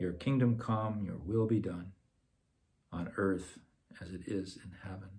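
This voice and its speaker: With long, frequent pauses and big swings in loudness, the speech comes at a fairly slow pace in a dark, mellow tone that is somewhat breathy, over light background noise. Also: man, fairly low pitch for a man, ordinary pitch variation. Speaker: parish talk leader. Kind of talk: Lenten talk on prayer, with guided meditation. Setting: online video from home. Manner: hesitant, repeats words. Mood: calm, gentle. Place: home room. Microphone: phone near.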